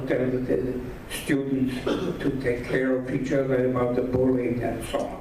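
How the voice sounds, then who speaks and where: A man speaks at a fairly slow pace with a central European accent, with noticeable background noise and audible room echo. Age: 80s+. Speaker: Holocaust survivor speaker. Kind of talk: talk to an audience. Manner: halting.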